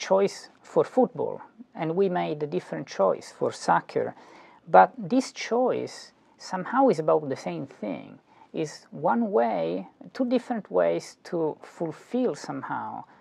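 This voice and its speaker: A very slow-paced man with an Italian accent. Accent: Italian inflection. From Italy. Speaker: philosophy professor. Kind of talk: lecture. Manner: halting, many fillers and repetitions.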